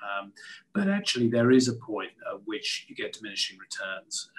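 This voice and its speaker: At a fairly quick pace, a man talks with a British accent. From UK. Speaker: gas industry executive. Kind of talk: panel discussion.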